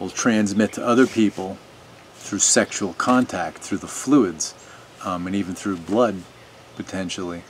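Over light background noise, a man talks fairly slowly at a fairly low pitch with ordinary pitch variation. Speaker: video commentator. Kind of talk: opinion monologue to camera. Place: garden.

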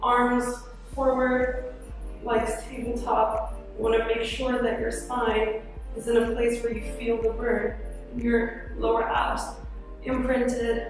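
Amid strong room echo and clear background music, a woman speaks very slowly with long, frequent pauses and monotone, flat intonation. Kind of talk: workout instruction. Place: gym. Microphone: camera far.

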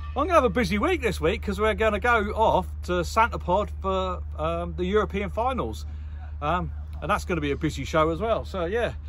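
A man with a West Country accent, talking at a fairly quick pace. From South West England, Somerset. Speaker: monster truck driver and vlogger. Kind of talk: casual vlog narration. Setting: outdoors at a truck show.

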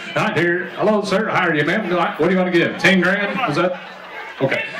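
A man's high-pitched voice at a very fast pace, with light background noise and audible room echo. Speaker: auctioneer. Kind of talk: charity auction bid call. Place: tent.

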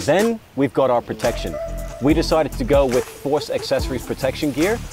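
A man in a dry sound with no echo, with clear music in the background. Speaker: presenter. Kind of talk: product presentation. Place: open country. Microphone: lapel.

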